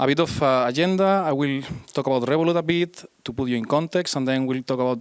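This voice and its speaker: A very fast pace with ordinary pitch variation. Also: man. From Spain. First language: Spanish. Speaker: iOS developer, conference speaker. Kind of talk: conference talk. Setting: stage with audience. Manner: hesitant, many fillers.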